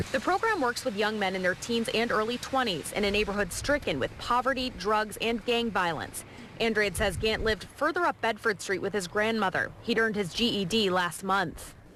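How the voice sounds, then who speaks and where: A woman with an American accent and a normal speaking voice talks at a moderate pace with ordinary pitch variation and hardly any pauses. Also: fairly high pitch for a woman. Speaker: TV news reporter and fill-in anchor. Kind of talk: TV news reporter delivery.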